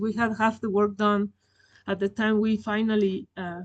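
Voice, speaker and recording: With a non-native accent, a woman speaks at a moderate pace and a fairly high pitch against a quiet background. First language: not English. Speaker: collections manager. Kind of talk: webinar presentation.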